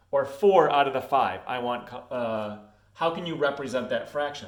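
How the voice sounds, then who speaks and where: A man with a fairly high pitch speaks with lively intonation, and audible room echo surrounds his voice. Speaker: schoolteacher. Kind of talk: recorded lesson for students. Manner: casual, hesitant; fast.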